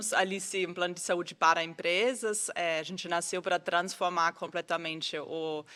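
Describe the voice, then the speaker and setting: A woman's bright, sharp voice at a fairly low pitch, with a non-native accent, monotone, flat intonation and a moderate pace, on a very clean recording with a silent background. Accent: foreign accent in Portuguese. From Austria. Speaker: HR executive. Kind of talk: live event panel discussion.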